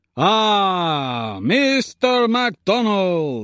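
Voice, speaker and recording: This loud, put-on character voice sits at middle pitch and makes very wide pitch swings. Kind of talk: theatrical, spectacle. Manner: menacing, cried out loudly.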